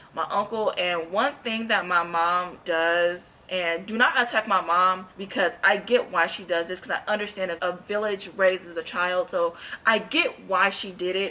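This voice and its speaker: Against noticeable background noise, a woman talks at a medium pitch with fairly even intonation and hardly any pauses. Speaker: gospel singer and vlogger. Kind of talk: testimony. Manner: fast.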